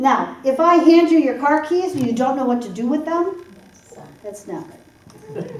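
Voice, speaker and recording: An animated voice with an American accent at a fairly slow pace, very wide pitch swings and big swings in loudness, amid noticeable background noise and audible room echo. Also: woman, high pitch for a woman. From US Midwest, Michigan (Detroit area). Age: 60s. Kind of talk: seminar talk.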